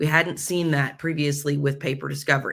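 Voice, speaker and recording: This woman's voice sits very deep and low. Its tone is bright and sharp. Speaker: legal tech host discussing case law. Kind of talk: legal case commentary. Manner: formal.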